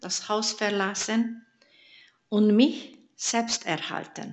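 The speaker has a Hungarian accent. The pace is very slow. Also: woman. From Hungary. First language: Hungarian (speaking German). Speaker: church member giving testimony. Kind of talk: testimony.

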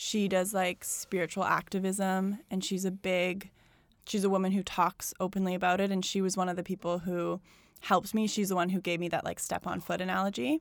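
A woman with a Canadian accent and a plain, everyday voice, medium pitch, fairly even intonation, and a fairly quick pace, on a very clean recording with a silent background. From Alberta, Canada (Calgary). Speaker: yoga studio founder. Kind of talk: casual interview.

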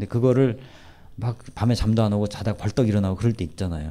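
A man talks very fast in a fairly low voice. His tone is dark and mellow. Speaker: professor and lecturer. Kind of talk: lecture with audience Q&A. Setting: stage with live audience.

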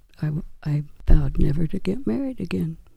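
A woman's very deep, low voice, somewhat breathy with a dark, mellow tone, at a moderate pace. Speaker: guest, wife of the main guest. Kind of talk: interview telling testimony.

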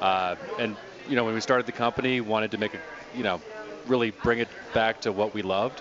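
Speaking with an American accent, a man uses a medium pitch and ordinary pitch variation against noticeable background noise. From Colorado. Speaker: brewery representative. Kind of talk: casual chat. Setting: studio.

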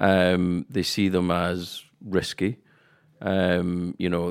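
In a very clean recording with a silent background, a man with a Scottish accent speaks in a monotone, flat intonation at a very deep, low pitch. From west coast of Scotland. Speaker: podcast co-host. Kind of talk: casual chat.

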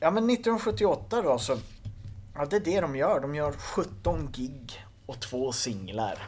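Somewhat breathy, a man speaks at a very slow pace with very wide pitch swings. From northern Sweden, Skellefteå area. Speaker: punk musician. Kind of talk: casual interview. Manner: halting, repeats words.

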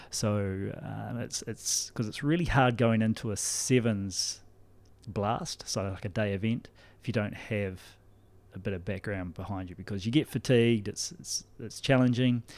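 In a very clean recording with a silent background, a man with a New Zealand accent speaks at a moderate pace, using a fairly low pitch and ordinary pitch variation. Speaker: rugby skills development coach. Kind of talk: casual interview.

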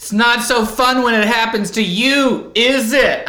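A man puts on a whiny character voice with a whiny tone at an extremely high pitch. He speaks at a fairly slow pace with fairly even intonation and audible echo. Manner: whiny, petulant.

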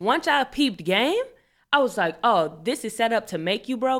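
A woman talks at a fairly quick pace in an animated tone with lively intonation, on a very clean recording with a silent background. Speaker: podcast host. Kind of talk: casual chat. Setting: radio studio.

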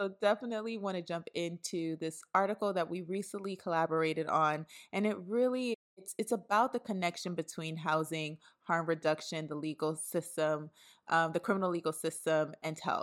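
In a very clean recording with a silent background, a woman with an ordinary speaking voice and an American accent talks at a moderate pace with a fairly low pitch and ordinary pitch variation. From New York City (Brooklyn). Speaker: podcast host, housing campaign manager. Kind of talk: interview podcast.

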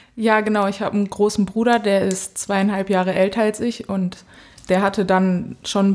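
With monotone, flat intonation, a woman talks fairly quickly. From Germany, Dortmund (Ruhr area). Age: 20s. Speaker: professional footballer. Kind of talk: casual interview.

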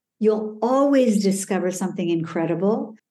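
Her American accent comes through in a dark, mellow tone. This woman speaks at a fairly high pitch with ordinary pitch variation. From Denver, Colorado and Calgary, Alberta. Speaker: executive coach. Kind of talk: interview. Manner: animated.

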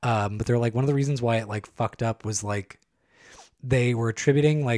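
Medium-pitched man with an American accent and fairly even intonation, in a very clean, silent-background recording with a dry, close sound and no echo. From California, San Joaquin County. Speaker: podcast co-host. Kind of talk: casual chat.

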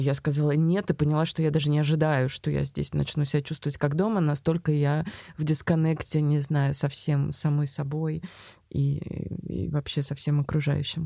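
A woman with a very deep, low, dark and mellow voice speaks at a moderate pace with fairly even intonation, recorded very cleanly with a silent background and a dry, close sound free of echo. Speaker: podcast host, film critic. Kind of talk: interview podcast.

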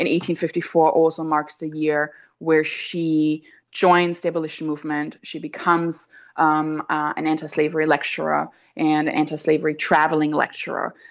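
Over a quiet background, a woman with a very deep, low pitch talks at a moderate pace in a monotone, flat manner. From Austria. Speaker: doctoral researcher. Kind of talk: interview. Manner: halting, many fillers.

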